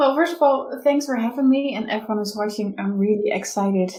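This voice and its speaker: A woman with a Dutch accent speaks at a fairly high pitch, somewhat breathy, in a dark, mellow tone. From Netherlands. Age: 30s. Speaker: business coach. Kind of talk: interview. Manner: halting.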